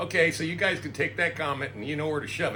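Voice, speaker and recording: A man talks at a very fast pace in a fairly high pitch. Noticeable background noise and audible room echo surround his voice. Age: 60s. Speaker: YouTuber. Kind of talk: casual chat. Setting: barbershop.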